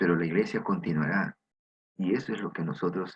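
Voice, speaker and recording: The man's speech moves at a moderate pace. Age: 60s. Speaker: preacher. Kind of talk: sermon.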